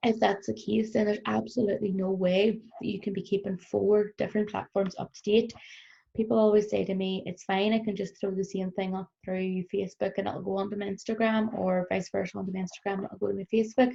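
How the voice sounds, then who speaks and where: This woman speaks very fast in a Northern Irish accent, her voice somewhat breathy. Her medium pitch stays monotone and flat. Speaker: business trainer. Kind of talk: recorded workshop presentation. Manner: frequent fillers (um).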